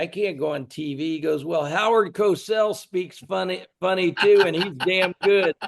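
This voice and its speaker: The speech comes at a fairly slow pace with an American accent and ordinary pitch variation. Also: man. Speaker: wrestling announcer and promoter. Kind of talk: interview storytelling. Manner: animated.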